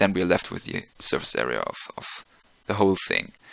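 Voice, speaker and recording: He speaks with a non-native accent. The voice is a man's. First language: not English. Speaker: physics tutor. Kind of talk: tutorial. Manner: halting, many fillers; casual.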